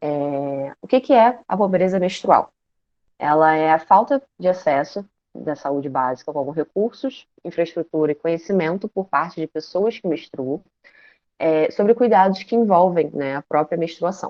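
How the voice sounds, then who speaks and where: Using a normal speaking voice, a woman with a fairly low pitch talks at a fairly slow pace with lively intonation. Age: 20s. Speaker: social work student, guest lecturer. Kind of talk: online lecture. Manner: informal, with fillers.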